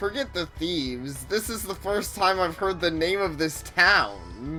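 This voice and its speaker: Using a put-on character voice, a woman speaks at a fairly slow pace over clear music in the background. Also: fairly low pitch for a woman. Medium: game stream. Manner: eager, theatrical.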